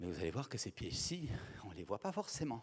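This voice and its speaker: Somewhat breathy and at a very fast pace, a man speaks at a medium pitch with very wide pitch swings. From Belgium. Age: 60s. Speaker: speaker on communication and psychology. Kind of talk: conference talk.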